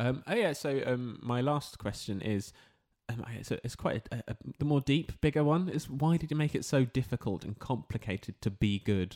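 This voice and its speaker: Speaking at a moderate pace and medium pitch with a London accent, a man uses lively intonation, captured dry and close with no echo on a very clean, silent-background recording. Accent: London, posher doctor voice. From southeast London. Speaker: doctor and comedian. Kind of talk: casual interview chat.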